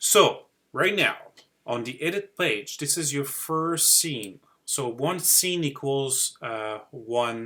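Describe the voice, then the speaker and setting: With a strong Quebec accent, a man talks at a very slow pace in a fairly high-pitched, bright, sharp tone with lively intonation. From Quebec City, Canada. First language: French. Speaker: digital marketing YouTuber. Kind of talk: live-stream tutorial. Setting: live stream screen share. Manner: hesitant, many fillers.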